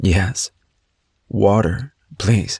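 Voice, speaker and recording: Put-on character voice from a man, fairly low and strained, dry and close with no echo. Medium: read story. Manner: strained, through clenched teeth.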